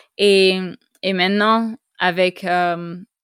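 A woman's medium-pitched voice with fairly even intonation, dry and close with no echo, on a very clean recording with a silent background. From Costa Rica. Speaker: podcast host. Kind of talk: interview. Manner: halting.

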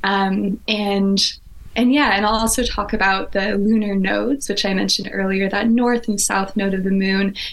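Noticeable background noise sits behind a woman speaking at medium pitch and a moderate pace. Her intonation is monotone and flat, her loudness very even. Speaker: evolutionary astrologer. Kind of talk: masterclass-style lecture in a conversation. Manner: articulate, rich vocabulary.

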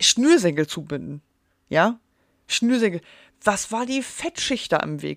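A woman's medium-pitched voice, very slow, with very wide pitch swings and long, frequent pauses, dry and close with no echo, on a very clean recording with a silent background. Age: 30s. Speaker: podcaster. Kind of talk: casual monologue. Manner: unscripted, with slips and fillers.

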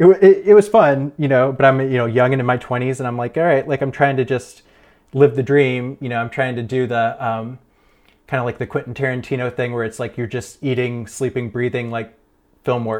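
Talking at a fairly quick pace, a man with an American accent speaks at a medium pitch. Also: ordinary pitch variation. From Ohio, US Midwest. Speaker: cinematographer and editor. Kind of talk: casual interview.

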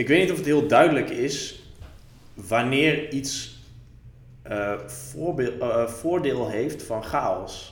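The delivery is very slow, with long, frequent pauses and ordinary pitch variation. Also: man. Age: 30s. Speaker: author and blogger. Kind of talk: casual chat.

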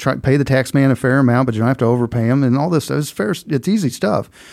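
Speaking very fast, a man has a Southern Midland US accent and a dark, mellow tone. His pitch is medium, with ordinary variation. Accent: rural southern Midland US. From US Midwest, southeast Missouri. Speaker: financial planner. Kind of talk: podcast interview. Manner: casual, conversational.

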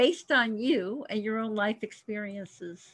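A woman speaks with an American accent in a bright, sharp tone. The background is quiet. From Miami, Florida. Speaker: podcast host and author. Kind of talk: scripted introduction; interview. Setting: studio.

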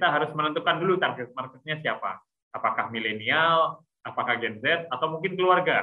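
An unremarkable speaking voice with ordinary pitch variation and hardly any pauses. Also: man, fairly high pitch for a man. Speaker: entrepreneur. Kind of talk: webinar talk. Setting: video call.

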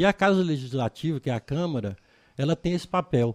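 A man speaks in a plain, everyday voice at a moderate pace with ordinary pitch variation. The sound is dry and close, with no echo. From Brazil, Goiás (Chapada dos Veadeiros). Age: 60s. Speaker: local politician. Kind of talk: interview.

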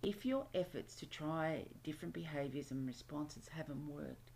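A woman speaks with an Australian accent and a very deep, low pitch. Her intonation is lively and her pace moderate. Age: 50s. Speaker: self-help podcast host. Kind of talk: solo self-help podcast monologue.

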